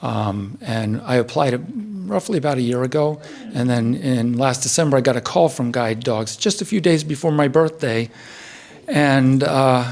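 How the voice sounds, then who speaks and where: This man has an American accent and a medium pitch. He talks at a moderate pace with ordinary pitch variation. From central eastern Pennsylvania. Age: 60s. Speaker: retired research chemist, guide dog handler. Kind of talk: graduation speech. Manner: halting, many fillers.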